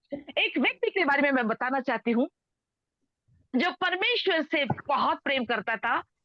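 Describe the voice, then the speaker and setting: The speaker is a woman with a Telangana accent. Her pitch is high. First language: Telugu (speaking Hindi). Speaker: preacher. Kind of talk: sermon. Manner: code-switching Hindi and English.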